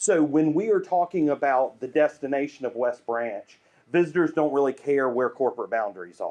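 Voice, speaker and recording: A man with a Southern US accent speaks at a fairly high pitch and a moderate pace. His dark, mellow tone carries lively intonation. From US South, Greenville, South Carolina. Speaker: urban planning and branding consultant. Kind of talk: presentation.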